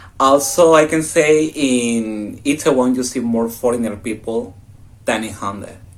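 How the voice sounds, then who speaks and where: The speaker is a man with a Mexican accent. He talks at a fairly slow pace with ordinary pitch variation. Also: medium pitch for a man. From Mexico. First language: Spanish. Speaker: exchange student. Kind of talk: casual chat.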